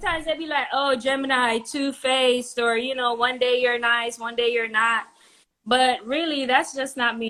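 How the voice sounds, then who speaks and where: A woman speaks with a Jamaican accent in a high, bright, sharp voice. Her intonation stays fairly even at a moderate pace. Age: 30s. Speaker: dating show contestant. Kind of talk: casual chat.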